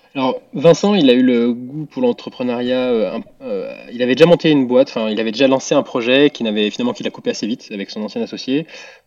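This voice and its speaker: Noticeable background noise sits behind a man talking at a very fast pace with hardly any pauses. His pitch variation is ordinary. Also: medium pitch for a man. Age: 20s. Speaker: startup founder and CEO. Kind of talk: interview. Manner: halting, many fillers.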